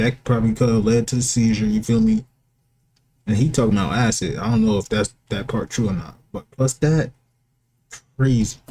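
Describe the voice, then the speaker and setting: Speaking at a moderate pace with long, frequent pauses, a man has a somewhat breathy voice and a dark, mellow tone. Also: medium pitch for a man, ordinary pitch variation. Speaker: reaction youtuber. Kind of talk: casual reaction commentary.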